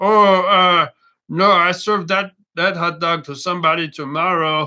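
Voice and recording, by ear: In a put-on character voice, croaky and at a middle pitch, the speaker goes at a moderate pace over a quiet background.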